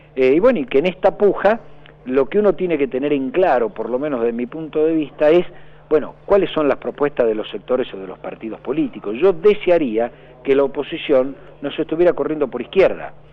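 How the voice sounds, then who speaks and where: A fairly high-pitched man with lively intonation at a fairly quick pace, amid noticeable background noise. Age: 50s. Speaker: political candidate. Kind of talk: radio interview.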